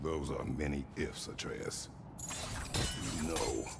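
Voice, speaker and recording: A put-on character voice at a very slow pace, under loud background noise. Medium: game stream. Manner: terse, stern.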